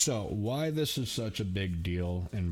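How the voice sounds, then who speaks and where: Noticeable background noise runs through the clip. A man speaks with an American accent. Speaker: youtuber, craft beer commentator. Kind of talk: solo vlog commentary. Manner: fast.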